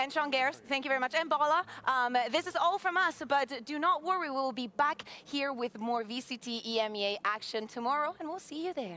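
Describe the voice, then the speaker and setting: A woman with a Spanish accent talks in a raised, projected voice at a high pitch, with lively intonation and a fairly quick pace. Noticeable background noise runs behind her. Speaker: esports desk host. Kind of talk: post-match interview.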